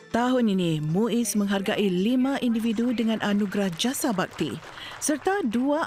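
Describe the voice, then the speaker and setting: Noticeable background noise accompanies a woman speaking at a fairly high pitch with ordinary pitch variation. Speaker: news reporter. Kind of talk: formal newsreading, a crisp, steady broadcast voice-over. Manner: formal; measured, even-paced and authoritative.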